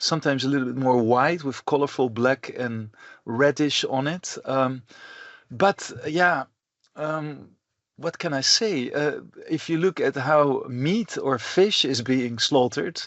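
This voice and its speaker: Speaking at a fairly slow pace, a man with a Dutch accent has a fairly high pitch and ordinary pitch variation. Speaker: professor. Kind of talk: lecture. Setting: recorded online lecture. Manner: halting, many fillers.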